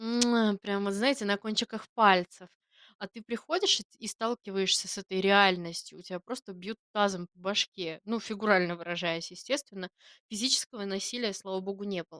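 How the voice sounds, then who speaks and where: In a dry, close recording with no echo, a woman at medium pitch speaks at a moderate pace with fairly even intonation but big swings in loudness. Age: 20s. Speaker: podcast co-host, artist and teacher. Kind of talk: casual chat.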